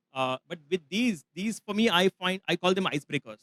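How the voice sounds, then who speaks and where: In a dry, close sound with no echo, a man with a high pitch speaks with lively intonation. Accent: Marathi. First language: Marathi. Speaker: travel expert, workshop presenter. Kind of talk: live masterclass talk. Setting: festival session with audience.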